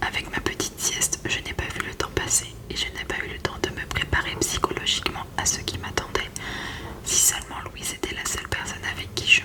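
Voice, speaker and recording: Over noticeable background noise, a woman's whispering moves at a moderate pace. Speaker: ASMR creator. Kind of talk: read story. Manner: whispered.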